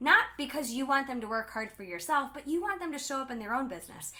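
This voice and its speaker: Loud and animated, a woman with a high pitch talks with lively intonation over noticeable background noise. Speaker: direct sales team leader. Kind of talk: live stream talk. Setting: livestream.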